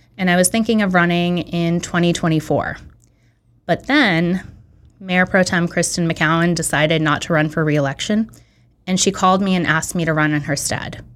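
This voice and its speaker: A woman with a Californian accent talks at a moderate pace, her pitch fairly low and her intonation fairly even. The recording is very clean, with a silent background. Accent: General American (California). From San Francisco Bay Area, California. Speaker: city council candidate. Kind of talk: interview.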